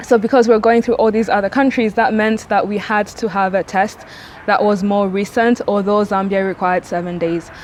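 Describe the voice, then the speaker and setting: With noticeable background noise behind her, a woman speaks at a medium pitch with fairly even intonation. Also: fairly quick pace. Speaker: travel vlogger. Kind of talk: casual vlog talk to camera. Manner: fast.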